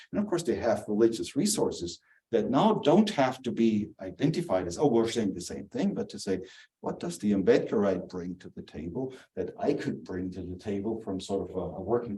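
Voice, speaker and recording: A man with a German accent speaks at a moderate pace in a medium pitch, his dark, mellow tone somewhat breathy and his pitch swinging very widely. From southern Germany. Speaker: theologian and author. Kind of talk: lecture. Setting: church hall with small audience, also streamed. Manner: halting, many fillers.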